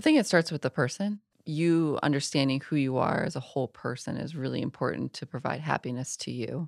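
A woman's very deep, low voice with an American accent, fairly quick and hardly pausing, ordinary pitch variation, dry and close with no echo, very clean recording over a silent background. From Iowa, US Midwest. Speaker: structural engineering firm CEO. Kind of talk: podcast interview.

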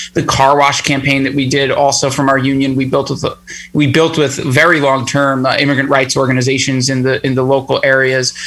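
A man talks at a fairly quick pace in a fairly high pitch, with very even loudness. His intonation is monotone and flat, and noticeable background noise is present. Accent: American. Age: 30s. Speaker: union organizer. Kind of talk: casual interview.

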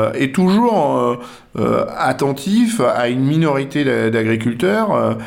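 A man speaks with audible room echo. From western France, near La Rochelle. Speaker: politician, farmer and agronomist. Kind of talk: radio interview. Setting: guest's office. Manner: hesitant, many fillers.

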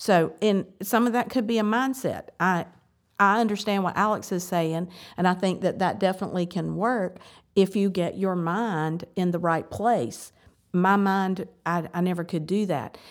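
An ordinary speaking voice at a fairly slow pace with ordinary pitch variation, in a very clean recording with a silent background. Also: woman. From US South. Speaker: church member in recovery. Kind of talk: casual chat.

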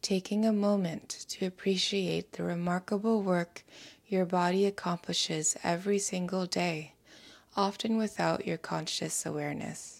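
With an unremarkable speaking voice, a woman of medium pitch talks at a fairly slow pace and fairly even intonation on a very clean recording with a silent background. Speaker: meditation guide. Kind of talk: guided meditation, calm soothing instructions in a gentle hushed tone. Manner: slow, soft-spoken, soothing and unhurried with long pauses.

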